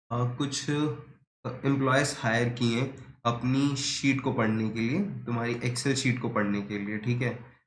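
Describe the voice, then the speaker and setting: Hardly pausing, a man speaks at medium pitch with fairly even intonation and audible room echo. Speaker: teacher. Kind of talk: lecture. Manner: casual, conversational.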